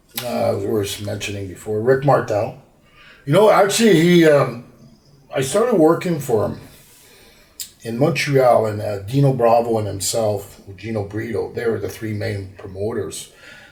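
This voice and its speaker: Here a man speaks at a medium pitch and a moderate pace with lively intonation. Noticeable background noise and audible room echo fill the recording. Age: 50s. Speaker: former pro wrestler. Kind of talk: interview. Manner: halting.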